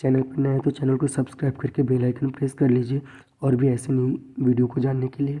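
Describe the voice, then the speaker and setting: A dark, mellow, somewhat breathy tone with monotone, flat intonation at a fairly quick pace. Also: man. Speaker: education tutor. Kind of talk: tutorial.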